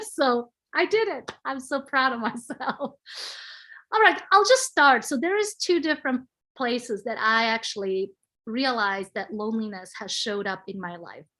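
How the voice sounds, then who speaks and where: A woman with a non-native accent speaks in a high voice with a bright, sharp tone at a moderate pace. Her pitch swings very widely and her loudness varies greatly against a quiet background. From Switzerland. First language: not English. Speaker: panel guest. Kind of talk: casual chat.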